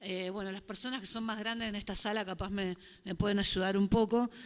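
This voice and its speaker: Against a silent background in a very clean recording, a woman speaks in a Rioplatense accent at a medium pitch. Her intonation is flat and monotone, and her pace is fairly quick. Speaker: panel moderator. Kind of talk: panel discussion.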